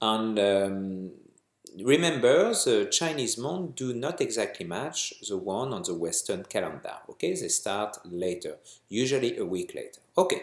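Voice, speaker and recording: This man speaks with a strong French accent. His pace is fairly slow. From France. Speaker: astrology consultant. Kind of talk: vlog forecast talk. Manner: hesitant, many fillers.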